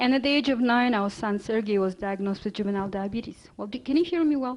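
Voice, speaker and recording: In a Russian accent, a woman with a fairly high pitch speaks with ordinary pitch variation against a quiet background. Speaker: health author and speaker. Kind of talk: lecture. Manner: halting, many fillers.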